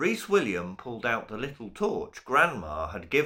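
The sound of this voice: This is an unforced reading voice. It is used throughout.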